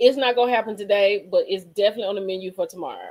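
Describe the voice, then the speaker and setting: Speaking at a very fast pace, a woman with a medium pitch sounds animated. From Mississippi. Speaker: reality TV review livestreamer. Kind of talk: casual livestream chat.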